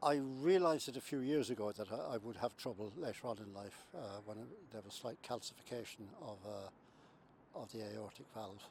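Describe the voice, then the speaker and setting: A man in a Limerick accent talks at a moderate pace and medium pitch with ordinary pitch variation, hardly any pauses, and big swings in loudness. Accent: Irish (Limerick). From Ireland, County Limerick. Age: 70s. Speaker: heart patient. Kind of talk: testimony. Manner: halting.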